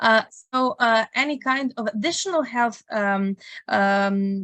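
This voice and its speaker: Heard against a quiet background, the voice carries a Serbian accent and ordinary pitch variation, with a dry, close sound and no echo. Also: woman. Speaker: international student ambassador. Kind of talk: Q&A info session. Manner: halting, many fillers.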